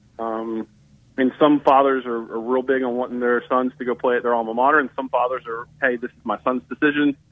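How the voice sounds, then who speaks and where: Speaking in a Southern US accent, a man has a medium pitch. His pace is fairly quick and his intonation flat and monotone. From northern Alabama. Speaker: sports journalist. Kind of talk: radio interview.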